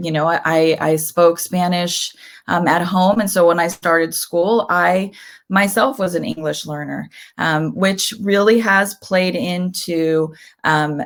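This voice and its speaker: A woman speaks very slowly in a fairly low voice. The recording is very clean, with a silent background. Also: ordinary pitch variation. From Southern California, Mexican-American family. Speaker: educator and author. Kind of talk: interview. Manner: hesitant, many fillers.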